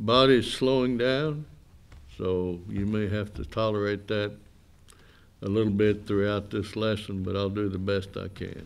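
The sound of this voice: A man's fairly low voice with vocal fry, fairly even intonation and a fairly slow pace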